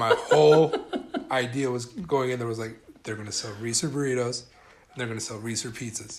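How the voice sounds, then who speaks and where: Fairly even intonation at a fairly quick pace, with big swings in loudness, noticeable background noise, and an American accent. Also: man, medium pitch for a man. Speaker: podcast host. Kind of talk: casual chat. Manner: laid back.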